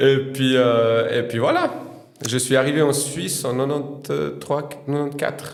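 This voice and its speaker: Amid audible room echo and noticeable background noise, a man with a fairly high pitch speaks at a fairly slow pace in a monotone, flat intonation. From Bosnia, former Yugoslavia. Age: 40s. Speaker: podcast guest. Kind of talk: interview. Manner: hesitant, many fillers.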